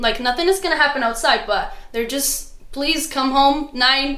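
A raised, projected voice with lively intonation moves at a fairly slow pace over noticeable background noise. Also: woman. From Morocco, Casablanca. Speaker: student. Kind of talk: casual interview.

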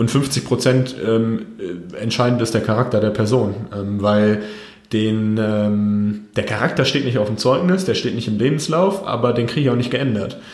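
At a moderate pace, a man with a medium pitch and ordinary pitch variation speaks amid audible room echo and noticeable background noise. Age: 30s. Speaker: company founder and managing director. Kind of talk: interview. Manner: frequent hesitations (ähm).

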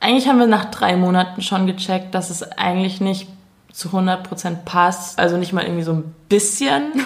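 Medium pitch from a woman at a moderate pace, ordinary pitch variation, with noticeable background noise. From Munich, Bavaria. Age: 20s. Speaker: YouTuber making comedy videos. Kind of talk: casual chat.

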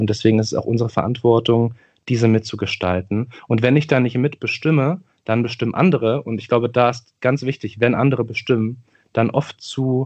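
In an ordinary speaking voice, a man talks at a fairly quick pace with a medium pitch and fairly even intonation. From Berlin-Neukölln, Germany. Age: 30s. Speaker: politician and teacher. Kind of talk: interview conversation.

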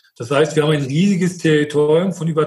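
A man's somewhat breathy voice sits at a fairly high pitch. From Mecklenburg, northeastern Germany. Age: 50s. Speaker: wastewater utility manager and process engineer. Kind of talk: podcast interview.

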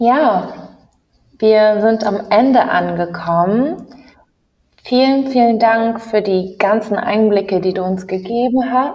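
Against audible room echo, a woman talks very slowly at a fairly high pitch with ordinary pitch variation. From Ghanaian diaspora in Germany. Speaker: podcast host. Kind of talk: interview.

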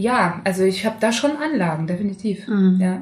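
Amid audible room echo and noticeable background noise, a woman speaks at a moderate pace with very wide pitch swings. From Saxony, Leipzig. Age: 30s. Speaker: singer. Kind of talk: casual chat.

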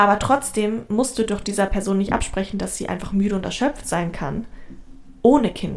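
A woman speaks with vocal fry. Her pitch variation is ordinary. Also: medium pitch for a woman, moderate pace. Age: 20s. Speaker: podcast co-host. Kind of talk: casual chat.

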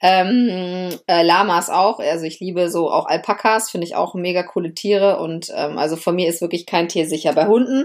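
Speech flows at a moderate pace with hardly any pauses and ordinary pitch variation. The recording is very clean, with a silent background. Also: woman, medium pitch for a woman. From Lower Saxony, Germany. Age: 30s. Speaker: lawyer podcaster. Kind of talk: casual personal monologue. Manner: animated.

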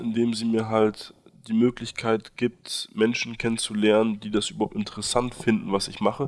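A man speaks at a moderate pace and a medium pitch. His intonation stays fairly even. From Berlin, Germany. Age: 20s. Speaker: university student and aid volunteer. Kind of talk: interview. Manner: hesitant, many fillers.

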